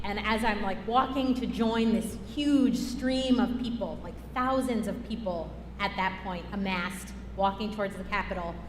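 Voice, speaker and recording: With noticeable background noise and audible room echo, a woman speaks at a fairly high pitch and a moderate pace. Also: ordinary pitch variation. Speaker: climate justice organizer. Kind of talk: talk during church service. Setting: church. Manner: loud; animated.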